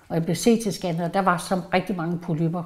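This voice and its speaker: The speaker is a woman with a dark, mellow tone. Her pitch varies in an ordinary way. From Jutland, Denmark. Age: 70s. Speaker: retired police employee, cancer patient. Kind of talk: personal testimony interview.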